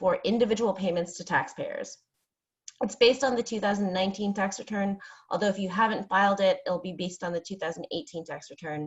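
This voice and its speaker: A woman talks at a fairly quick pace and medium pitch. Her voice is somewhat breathy, with ordinary pitch variation. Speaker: employment attorney. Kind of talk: webinar presentation. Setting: online webinar. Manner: fast.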